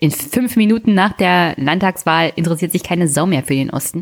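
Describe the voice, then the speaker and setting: Here a woman has an unremarkable speaking voice. Her pitch is fairly low and her pace moderate. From Brandenburg, Germany (Teltow-Fläming). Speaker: podcast co-host. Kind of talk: casual political discussion.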